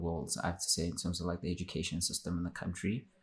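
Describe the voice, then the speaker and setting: Somewhat breathy delivery. Very clean recording over a silent background. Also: man. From South Africa, Limpopo. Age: 20s. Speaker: podcast guest. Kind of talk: interview.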